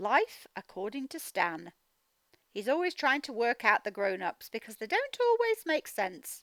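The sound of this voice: A woman's fairly high, fairly bright voice with big pitch swings, at a fairly slow pace, in a dry, close sound with no echo.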